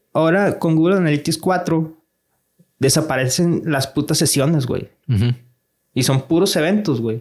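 On a very clean recording with a silent background, a man speaks fairly slowly with a fairly high pitch and ordinary pitch variation. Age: 30s. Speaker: digital marketing entrepreneur. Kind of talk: casual chat. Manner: animated.

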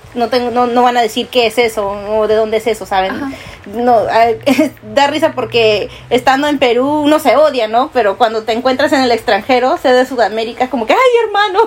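Noticeable background noise sits behind a woman with a high pitch. She talks at a fairly quick pace with ordinary pitch variation. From Peru. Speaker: podcast co-host. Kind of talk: casual chat.

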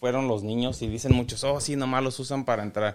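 A plain, everyday voice from a man, medium in pitch, with fairly even intonation. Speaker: podcast co-host. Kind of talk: casual chat. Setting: home garage.

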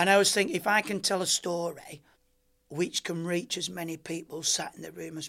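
A man speaks in a Lancashire accent. His pace is moderate and his intonation fairly even. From rural Lancashire, northern England. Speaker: former Olympic gymnast. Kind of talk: interview.

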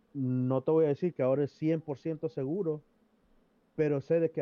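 Using fairly even intonation, a man with an ordinary speaking voice talks at a fairly high pitch. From El Salvador. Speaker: discussion panelist. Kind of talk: casual chat.

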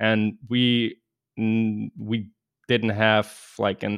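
The speaker has a Russian accent and talks very slowly. The intonation stays monotone and flat. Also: man. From Russia, raised in Germany from age ten. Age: 30s. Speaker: cybersecurity professional. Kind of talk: casual interview.

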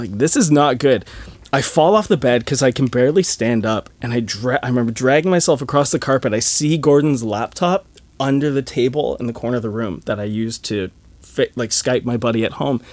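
A man with an ordinary speaking voice talks at a fairly quick pace, his pitch medium and his pitch variation ordinary. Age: 30s. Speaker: musician. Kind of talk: casual chat.

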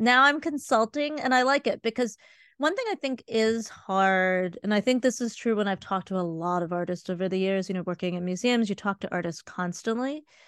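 With an American accent, a woman in an ordinary speaking voice talks fairly quickly at a medium pitch with lively intonation, against a quiet background in a dry, close sound with no echo. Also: hardly any pauses. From US Midwest, Cleveland Ohio. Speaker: museum consultant and art educator. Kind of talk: casual interview. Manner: fast, filler-heavy.

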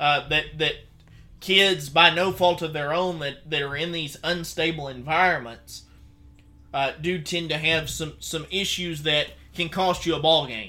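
A man with a Southern US accent speaks at a moderate pace and a fairly high pitch, his tone bright and sharp. His intonation stays fairly even on a very clean recording with a silent background. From Mississippi. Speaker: sports radio host, former high school coach. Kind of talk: casual chat.

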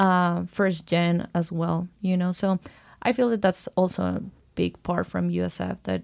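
A woman speaks at a very slow pace. The recording is very clean, with a silent background. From Ecuador. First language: Spanish. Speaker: college swimmer. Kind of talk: casual interview.

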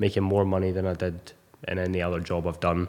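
The voice has a dark, mellow tone and a Scottish accent. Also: man. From Scotland, Ayr. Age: 20s. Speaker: personal trainer. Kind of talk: casual chat.

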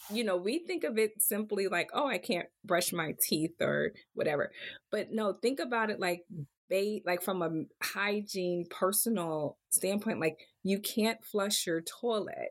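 This woman has an ordinary speaking voice with an American accent, a medium pitch and ordinary pitch variation. Her pace is fairly slow. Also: very even loudness. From Pennsylvania, Harrisburg. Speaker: physician and medical school admissions leader. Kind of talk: interview.

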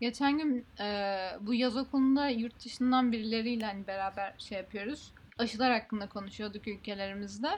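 Somewhat breathy, a woman speaks at a moderate pace with a fairly high pitch and fairly even intonation. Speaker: podcast host. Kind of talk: casual chat.

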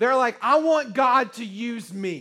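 A man's raised, projected voice at an extremely high pitch, bright and sharp in tone, in a very clean recording with a silent background. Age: 30s. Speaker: preacher. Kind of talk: sermon. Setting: church. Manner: animated.

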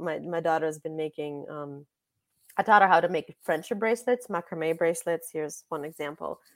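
A woman with a Russian accent talks at a fairly quick pace, her pitch fairly low with ordinary variation. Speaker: author and journalist. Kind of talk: interview. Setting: video call.

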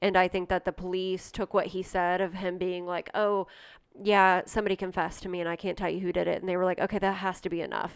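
Against a quiet background, a woman with an American accent talks very fast at a medium pitch, her intonation monotone and flat. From Ohio, US Midwest (rural, near Johnstown). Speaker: podcast co-host. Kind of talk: casual chat, true-crime storytelling.

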